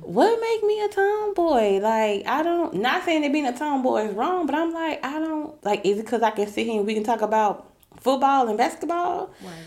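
A woman talks at a moderate pace in a high pitch with very wide pitch swings and hardly any pauses, against noticeable background noise. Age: 30s. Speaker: podcast co-host. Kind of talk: casual chat.

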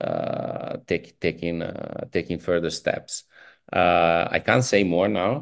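Against a quiet background, a man with an Italian accent speaks at a very slow pace. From northern Italy, near Milan. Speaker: tech foundation executive. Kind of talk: interview. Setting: video call.

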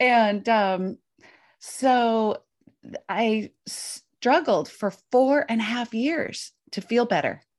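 Over a quiet background, a woman with a fairly high pitch speaks at a very slow pace, with ordinary pitch variation and big swings in loudness. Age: 50s. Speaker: intermittent fasting coach and author. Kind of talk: interview.

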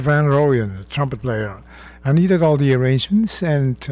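A fairly high-pitched man's voice with a Dutch accent and lively intonation over noticeable background noise. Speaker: jazz arranger and bandleader. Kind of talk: radio interview. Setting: radio studio.

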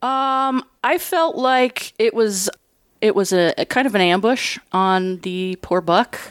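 A woman's fairly high voice at a very slow pace with lively intonation, in a dry, close sound with no echo on a very clean recording with a silent background. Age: 40s. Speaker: hunter. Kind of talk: casual chat.

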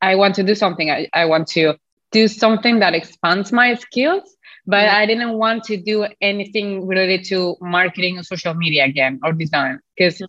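Speaking with a non-native accent, a woman keeps a fairly quick pace. Her pitch is medium, with ordinary variation. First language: not English. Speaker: health coach. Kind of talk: casual interview chat. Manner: halting, hesitant with fillers.

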